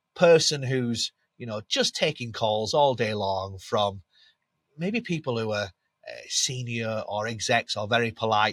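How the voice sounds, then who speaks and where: A bright, sharp voice with a Yorkshire accent, lively intonation and a fairly slow pace, in a very clean recording with a silent background and a dry, close sound with no echo. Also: man. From Yorkshire, England. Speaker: B2B SaaS brand growth manager. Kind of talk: podcast interview. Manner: animated.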